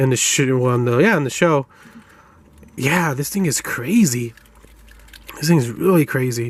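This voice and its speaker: Over noticeable background noise, a man mumbles at a moderate pace with long, frequent pauses. His pitch is fairly high, with ordinary variation. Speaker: toy reviewer. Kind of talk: product review. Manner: mumbling; casual, halting.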